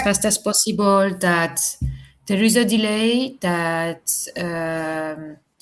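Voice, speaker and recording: A woman at medium pitch, talking at a very slow pace with ordinary pitch variation. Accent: French. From France. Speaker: business communication student. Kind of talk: online class discussion. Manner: hesitant, many fillers.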